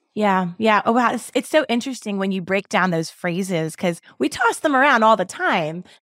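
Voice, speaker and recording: In a Mid-Atlantic American accent, a woman speaks at a moderate pace and medium pitch with lively intonation and an animated tone. She hardly pauses, and the recording is very clean with a silent background. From Baltimore, US. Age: 40s. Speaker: podcast host. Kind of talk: interview.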